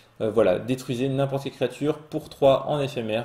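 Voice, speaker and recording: Moving at a fairly quick pace, a man talks in a fairly high voice. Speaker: Magic card game podcast host. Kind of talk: solo card spoiler review. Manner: fast; hesitant with fillers.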